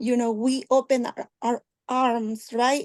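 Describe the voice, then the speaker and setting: A woman with a Spanish accent speaks at a fairly high pitch with fairly even intonation, recorded dry and close with no echo against a quiet background. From Oaxaca, Mexico. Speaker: arts organization leader. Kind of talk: video call roundtable discussion. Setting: video call.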